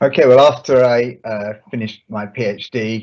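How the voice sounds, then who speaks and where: A man with a London accent, fairly slow and with ordinary pitch variation, against a quiet background. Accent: English, London area. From London area, England. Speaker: medicinal chemist. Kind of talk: live webinar interview. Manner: halting, many fillers.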